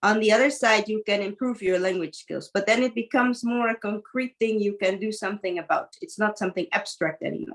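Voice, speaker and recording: Pitched fairly high, a woman talks at a fairly quick pace with hardly any pauses. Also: ordinary pitch variation. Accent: non-native. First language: not English. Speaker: teacher and mentor. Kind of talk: coaching conversation.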